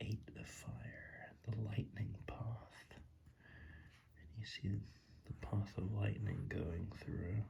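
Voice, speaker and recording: Whispering with vocal fry, a soft-spoken man talks in a relaxed tone at a very slow pace. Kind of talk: tarot ASMR reading, improvised rambling. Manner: soft-spoken, whispering, relaxed.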